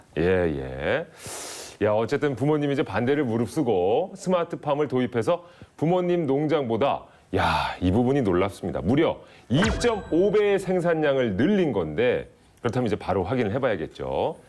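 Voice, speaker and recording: Over noticeable background noise, a man with a medium pitch talks in an animated tone at a moderate pace, his pitch swinging very widely while his loudness stays very even. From Daejeon, Chungcheong region, Korea. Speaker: TV show host. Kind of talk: studio talk show interview.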